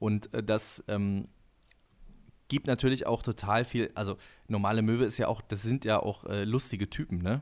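In a very clean recording with a silent background, a man with a fairly low voice speaks at a moderate pace, his intonation fairly even and his pauses long and frequent. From northern Germany (Husum). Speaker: musician and podcaster. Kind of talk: casual chat.

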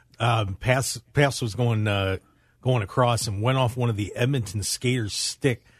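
A somewhat breathy man's voice at medium pitch, dry and close with no echo, over a quiet background. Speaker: producer and co-host. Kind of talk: casual sports banter on radio. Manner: laughing, jokey, easygoing.

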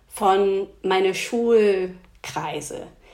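The speaker is a woman with an English accent. Her pitch shows ordinary variation. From England, Oxford. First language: English (speaking German). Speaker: dance fitness trainer and DJ. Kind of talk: casual interview. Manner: hesitant, many fillers.

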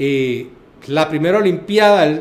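Against noticeable background noise, a man speaks at a very slow pace with ordinary pitch variation. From Panama. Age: 50s. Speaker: boxing official and lawyer. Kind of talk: casual interview chat.

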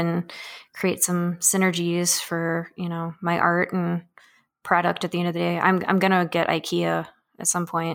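At a moderate pace and with a Canadian accent, the speaker holds a monotone, flat intonation on a very clean recording with a silent background. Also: woman. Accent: Canadian-sounding. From northern Illinois, Rockford. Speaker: artist and maker. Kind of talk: casual chat.

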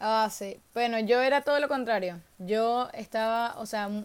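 This woman's voice sits at a high pitch, moving at a fairly slow pace with ordinary pitch variation. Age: 20s. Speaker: social media influencer. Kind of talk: casual interview.

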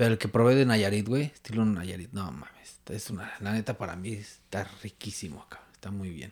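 A man with a fairly low pitch at a fairly quick pace, showing ordinary pitch variation and big swings in loudness, in a very clean recording with a silent background. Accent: Mexico City. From Mexico City. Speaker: Facebook group moderator. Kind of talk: casual chat.

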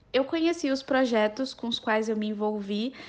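At a moderate pace, a woman with a plain, everyday voice speaks at a fairly high pitch with fairly even intonation. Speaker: law student. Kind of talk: podcast interview.

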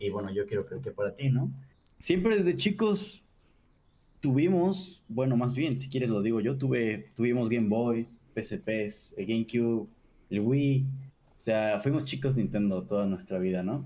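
The intonation is lively. The man's tone is dark and mellow. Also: medium pitch for a man. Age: 20s. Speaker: streamer and commercial pilot. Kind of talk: casual interview.

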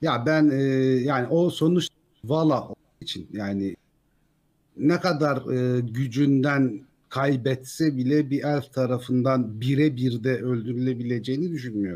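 A man with a normal speaking voice and medium pitch talks at a fairly slow pace with ordinary pitch variation. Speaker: YouTube Tolkien lore narrator. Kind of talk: casual chat.

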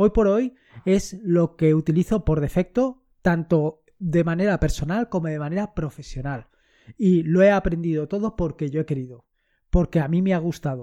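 This man has a high pitch and a dark, mellow tone, with ordinary pitch variation. He talks at a moderate pace against a quiet background. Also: dry, close sound with no echo. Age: 50s. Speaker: tech podcaster. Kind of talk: casual monologue. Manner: animated.

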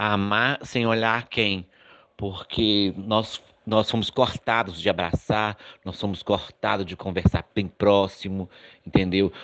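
A man talks very slowly at a fairly low pitch, his intonation monotone and flat. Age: 50s. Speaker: adoptive father. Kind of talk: testimony. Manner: halting, many repetitions.

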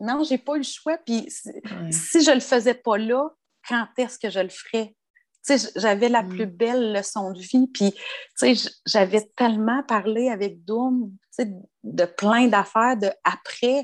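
In a Quebec accent, a woman speaks at a very slow pace and a fairly high pitch with long, frequent pauses, on a very clean recording with a silent background. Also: ordinary pitch variation. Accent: Québécois French. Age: 40s. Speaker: bereaved sister. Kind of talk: casual interview.

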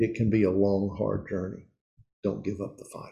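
A dark, mellow tone marks this man's somewhat breathy voice. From East Tennessee. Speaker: pastor / men's ministry teacher. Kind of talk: sermon.

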